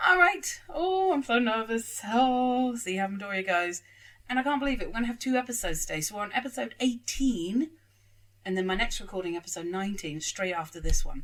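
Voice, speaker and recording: Talking at a fairly quick pace with a British accent, a woman uses a fairly high pitch and very wide pitch swings. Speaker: anime reaction youtuber. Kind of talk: casual reaction commentary.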